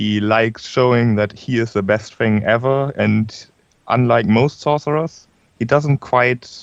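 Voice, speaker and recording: The pace here is very slow. A man speaks at a medium pitch with ordinary pitch variation. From Germany. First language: German. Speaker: tabletop role-playing game player. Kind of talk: casual chat. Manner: halting.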